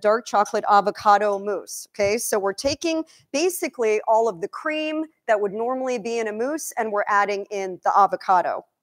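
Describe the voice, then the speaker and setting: The speaker sounds animated and talks at a fairly quick pace. The background is quiet. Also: woman. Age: 50s. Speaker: chef and nutrition coach; nutrition coach. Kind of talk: cooking demonstration. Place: kitchen.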